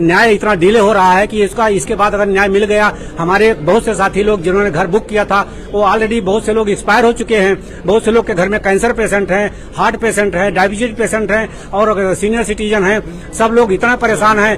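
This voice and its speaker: A man talks at a high pitch with monotone, flat intonation and very even loudness. Noticeable background noise runs underneath. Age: 70s. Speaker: protesting homebuyer. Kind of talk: protest interview.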